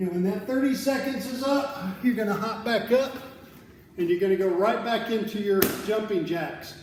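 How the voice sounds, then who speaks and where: Amid audible room echo and noticeable background noise, a man with a high pitch talks at a fairly slow pace with fairly even intonation. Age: 50s. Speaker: fitness coach. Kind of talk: workout instruction.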